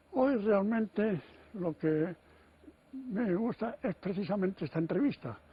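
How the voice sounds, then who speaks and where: At a fairly slow pace with long, frequent pauses, a man speaks in a high pitch with lively intonation. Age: 80s+. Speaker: writer and economist. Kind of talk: TV interview answer.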